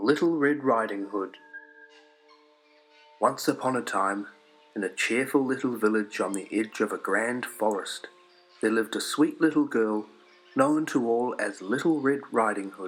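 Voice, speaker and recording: Music plays in the background as the speaker talks in a calm tone at a moderate pace. Pitch variation is ordinary, with long, frequent pauses. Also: man, medium pitch for a man. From New Zealand. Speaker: storyteller. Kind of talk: children's story read-along. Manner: calm, steady pace.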